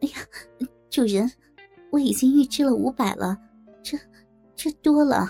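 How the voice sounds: Putting on a character voice, a woman speaks fairly slowly in a high, dark, mellow tone with a slightly husky edge, vocal fry and ordinary pitch variation, as faint music plays in the background.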